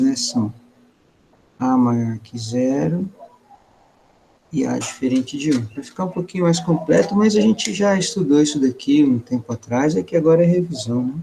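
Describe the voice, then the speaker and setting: A man speaks in a normal speaking voice. His pitch is fairly high and his intonation lively. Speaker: math teacher. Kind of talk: online class lecture. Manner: casual, colloquial.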